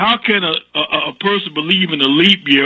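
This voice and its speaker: A man speaks with lively intonation and a moderate pace while noticeable background noise plays behind him. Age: 60s. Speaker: caller. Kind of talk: call-in comment. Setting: phone call. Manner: halting, repeats words; animated.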